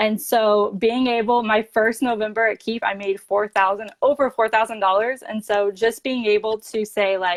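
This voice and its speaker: A woman with an American accent and a fairly high pitch talks with hardly any pauses, recorded dry and close with no echo. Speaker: direct sales ambassador. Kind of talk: interview. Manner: fast; animated.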